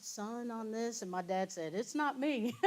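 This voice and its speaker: A woman with a Kentucky accent talks at a moderate pace. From Kentucky (New Zion, near Georgetown). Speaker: guest speaker, former basketball player. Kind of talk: Q&A after lecture.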